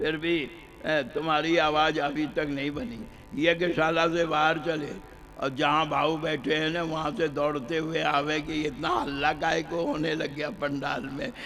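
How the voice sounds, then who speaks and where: Audible room echo surrounds a man's voice. His pitch is fairly high and his intonation fairly even. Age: 80s+. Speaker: religious storyteller. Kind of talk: sermon. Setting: stage with audience.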